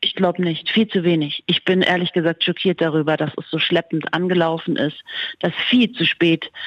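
A woman's voice with ordinary pitch variation. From Germany, Munich. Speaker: journalist. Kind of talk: interview.

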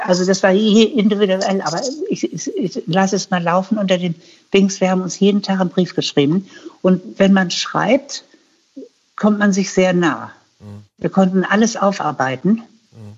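This woman speaks at a moderate pace in a medium pitch, somewhat breathy, with ordinary pitch variation and big swings in loudness. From Hannover, northern Germany. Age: 80s+. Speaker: novelist and former caterer. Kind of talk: interview.

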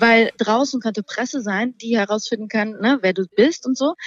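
Fairly high-pitched woman's voice with lively intonation and a moderate pace, dry and close with no echo, over noticeable background noise. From Thuringia, eastern Germany. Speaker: singer. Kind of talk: casual chat.

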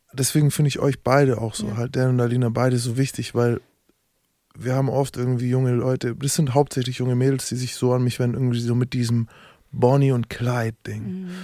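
Speaking fairly quickly, a man uses a medium-pitched, dark, mellow tone with monotone, flat intonation. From Frankfurt. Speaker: podcast co-host. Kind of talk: casual chat.

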